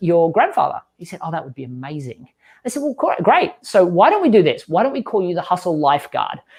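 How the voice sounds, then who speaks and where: Against a quiet background, a man with an Australian accent speaks in a high pitch with lively intonation. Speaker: growth marketing expert and author. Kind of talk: podcast interview. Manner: animated.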